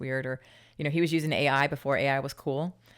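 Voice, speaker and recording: On a very clean recording with a silent background, a woman with an American accent talks very fast at a very deep, low pitch. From Utah. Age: 40s. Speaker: fitness entrepreneur. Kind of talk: interview conversation. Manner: animated.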